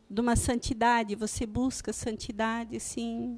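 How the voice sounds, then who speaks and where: A woman with a fairly high pitch and a calm tone, at a fairly slow pace. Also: very clean recording, silent background. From Santa Catarina, Brazil (Joinville). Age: 50s. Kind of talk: testimony.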